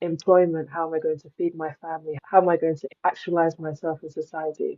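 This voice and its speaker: A woman with a British accent at a fairly quick pace, fairly low in pitch, with monotone, flat intonation. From England, Nigerian parents. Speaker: climate journalist and advocate. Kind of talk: podcast interview.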